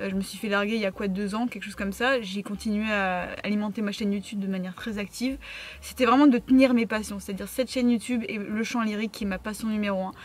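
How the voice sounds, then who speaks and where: Somewhat breathy, a woman with a medium pitch talks at a very fast pace with fairly even intonation. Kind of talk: casual Q&A vlog. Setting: in a car. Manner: hesitant, many fillers and repeated words; sometimes stutters, talks fast.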